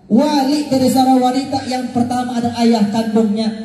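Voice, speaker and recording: With noticeable background noise behind him, a man speaks at a moderate pace in an extremely high pitch and fairly even intonation. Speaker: Islamic preacher. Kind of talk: Eid sermon from a pulpit.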